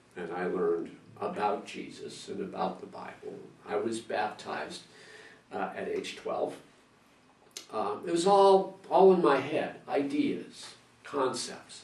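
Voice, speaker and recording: With audible echo in the room, a man talks at a fairly slow pace, leaving long, frequent pauses. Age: 60s. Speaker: church member. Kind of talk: testimony. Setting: interview. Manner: halting, many repetitions and fillers.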